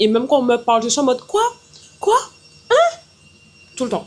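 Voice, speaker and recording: Noticeable noise sits in the background. The speaker talks at a very slow pace. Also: woman. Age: 20s. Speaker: vlogger and entrepreneur. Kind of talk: casual vlog talk to camera. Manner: loud; hesitant, many fillers.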